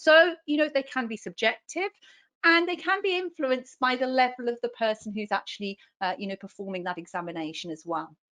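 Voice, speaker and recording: In a strong British accent, a woman with a high, bright and sharp voice speaks at a fairly quick pace with very wide pitch swings, recorded dry and close with no echo against a quiet background. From UK. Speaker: neonatal nurse practitioner. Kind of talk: lecture.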